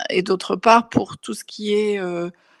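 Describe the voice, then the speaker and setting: Recorded very cleanly against a silent background, a woman talks at a very slow pace with ordinary pitch variation in a dry, close sound with no echo. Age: 60s. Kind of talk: personal testimony. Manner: hesitant, many fillers and repetitions.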